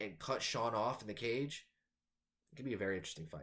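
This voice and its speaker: Talking at a very fast pace, a man uses lively intonation and vocal fry. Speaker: MMA news youtuber. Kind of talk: fight prediction commentary.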